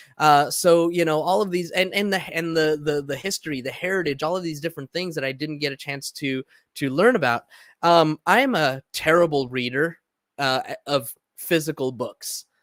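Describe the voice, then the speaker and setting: A man with a Californian accent talks at a moderate pace and a fairly high pitch, with ordinary pitch variation, in a dry, close sound with no echo on a very clean recording with a silent background. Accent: Californian American English. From Southern California (Los Angeles, San Diego). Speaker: podcast host. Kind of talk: personal monologue. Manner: halting, many fillers and repetitions.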